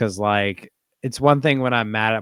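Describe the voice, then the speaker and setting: A man with a very deep, low pitch and an American accent, on a very clean recording with a silent background. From South Carolina, US South. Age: 20s. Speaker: reptile hobbyist. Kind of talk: casual chat.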